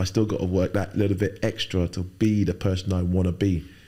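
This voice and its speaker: A man speaks with a London accent at a moderate pace. His voice is fairly low, with a dark, mellow tone. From London, England (Fulham, West London); born in Nigeria. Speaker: firefighter and bodybuilder. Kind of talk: casual interview.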